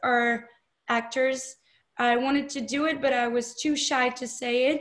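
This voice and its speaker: In a French accent, a woman speaks with a high pitch and a monotone, flat intonation. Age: 20s. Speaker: film director and actress. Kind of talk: interview. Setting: video call. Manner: hesitant, many fillers.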